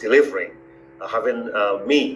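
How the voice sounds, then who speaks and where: Audible room echo surrounds the voice. Noticeable background noise is also present. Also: man. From Benin and Nigeria. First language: Igbo and Fon. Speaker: university founder, professor. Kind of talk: interview, life story. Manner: halting, many fillers.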